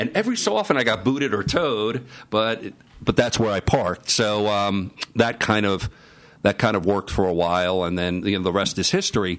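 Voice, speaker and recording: A man with an American accent, fairly low in pitch, a normal speaking voice with ordinary pitch variation at a fairly quick pace. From New York, the Bronx. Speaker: business advisor. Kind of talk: interview. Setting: live broadcast at conference.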